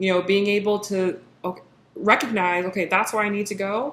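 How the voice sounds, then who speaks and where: With a plain, everyday voice, a woman speaks at medium pitch and with fairly even intonation. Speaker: tarot reader. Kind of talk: tarot reading monologue.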